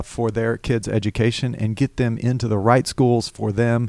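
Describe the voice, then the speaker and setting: A man's medium-pitched voice in a Southern US accent, moderate in pace with fairly even intonation, on a very clean recording with a silent background. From Alabama (Hoover, near Birmingham). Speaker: political candidate. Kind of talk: radio interview. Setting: studio.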